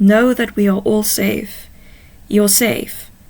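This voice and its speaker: A put-on character voice, female-sounding and raspy, moves at a very slow pace at a medium pitch. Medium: read story. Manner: gentle, formal.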